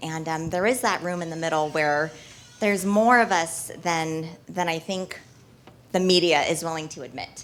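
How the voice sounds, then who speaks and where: There is noticeable background noise as a woman speaks at a moderate pace. Her voice sits fairly low, with ordinary pitch variation. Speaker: local politician. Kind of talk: speech at a political event.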